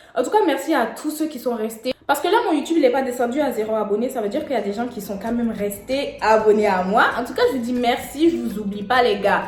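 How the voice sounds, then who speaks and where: A woman's very fast, animated speech at a fairly high pitch, with ordinary pitch variation, audible room echo and music in the background. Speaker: YouTuber, wig products entrepreneur. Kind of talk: casual vlog talk to viewers. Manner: animated, chatty.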